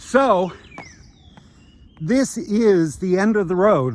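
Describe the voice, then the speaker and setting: With an American accent, a man talks with ordinary pitch variation. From US Midwest, Iowa City, Iowa. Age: 60s. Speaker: retired beachcomber vlogger. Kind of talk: casual vlog narration with mini-lecture. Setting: outdoors on a beach by bicycle. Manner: rambling with many fillers.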